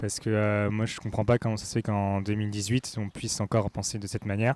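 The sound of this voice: This man speaks at a fairly quick pace with little pitch movement. His voice is fairly low-pitched, with a slightly mellow tone.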